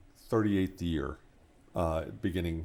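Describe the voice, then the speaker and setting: A man talks at a moderate pace. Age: 60s. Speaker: pastor. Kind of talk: casual interview. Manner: halting, repeats words.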